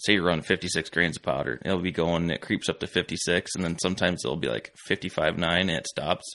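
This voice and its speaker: A man speaks very fast in a very deep, low voice with vocal fry. His tone is bright and sharp, and the background is quiet. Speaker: competitive shooter. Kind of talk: casual chat. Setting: studio.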